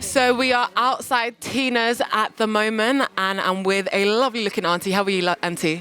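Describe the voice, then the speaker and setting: Over noticeable background noise, a woman with a fairly high pitch speaks at very even loudness with hardly any pauses. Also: ordinary pitch variation, moderate pace. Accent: South London. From London, Peckham. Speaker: TV presenter. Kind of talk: presenting and street interviews. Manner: animated.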